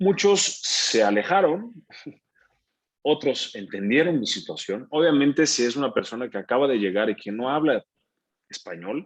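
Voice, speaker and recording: Taking long, frequent pauses at a moderate pace, a man with a fairly high pitch makes very wide pitch swings. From Brazil. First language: Portuguese (speaking Spanish). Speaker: actor. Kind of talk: interview.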